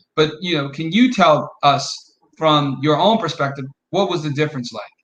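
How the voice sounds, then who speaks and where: A man with an American accent talks at a moderate pace in an unremarkable speaking voice, fairly high in pitch with ordinary pitch variation. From Detroit. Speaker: podcast host. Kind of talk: interview.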